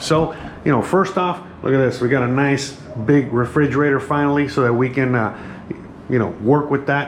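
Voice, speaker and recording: With an American accent, a man speaks at a fairly high pitch and fairly even intonation, with noticeable background noise and audible room echo. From United States. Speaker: home cooking vlogger. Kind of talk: casual kitchen tour vlog. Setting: home kitchen. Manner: casual, filler-heavy and halting.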